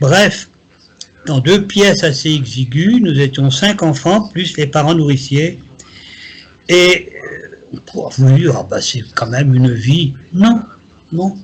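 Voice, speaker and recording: Against noticeable background noise, a man speaks at a very slow pace with long, frequent pauses. His fairly high voice has lively intonation. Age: 70s. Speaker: psychic. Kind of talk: interview.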